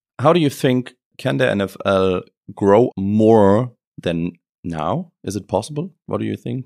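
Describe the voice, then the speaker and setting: Speaking at a very slow pace with a German accent, a man uses lively intonation at a fairly low pitch. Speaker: podcast host. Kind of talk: interview.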